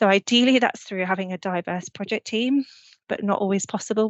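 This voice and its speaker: In a British accent, the speaker goes at a fairly quick pace. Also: woman. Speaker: urban planning consultant. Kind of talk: webinar presentation. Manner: fast.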